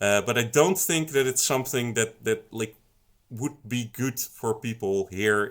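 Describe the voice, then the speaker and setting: Recorded very cleanly against a silent background, a man with a slight Dutch accent speaks at a fairly slow pace with lively intonation. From Netherlands. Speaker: song contest committee member, stream co-host. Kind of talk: livestream panel Q&A. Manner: halting, many fillers.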